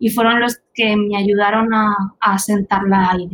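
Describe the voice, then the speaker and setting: This woman's voice sits at a fairly high pitch and sounds somewhat breathy. Her intonation is monotone and flat. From Spain, Albacete. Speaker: teacher and startup founder. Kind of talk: interview.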